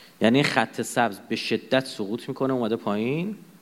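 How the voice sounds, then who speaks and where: Here a man talks at a fairly quick pace. His medium-pitched voice has lively intonation. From Iran. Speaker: lecturer. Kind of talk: lecture. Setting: lecture hall with audience and projector.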